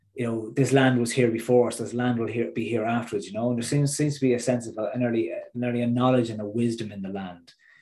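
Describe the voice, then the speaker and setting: A man with an Irish accent and a medium pitch talks at a very fast pace with hardly any pauses. His intonation is fairly even, and room echo is audible. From Ireland, midlands. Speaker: transformational coach and public speaker. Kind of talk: podcast interview.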